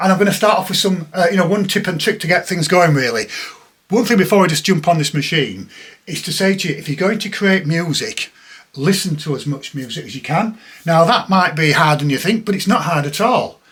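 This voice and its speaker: At a fairly quick pace, a man speaks in a high pitch with ordinary pitch variation. The background is noticeably noisy. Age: 60s. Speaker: techno producer and DJ. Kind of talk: tutorial demo talk.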